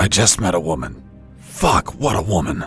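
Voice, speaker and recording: Raspy put-on character voice from a man at a moderate pace, with clear music in the background. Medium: video game. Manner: casual, joking.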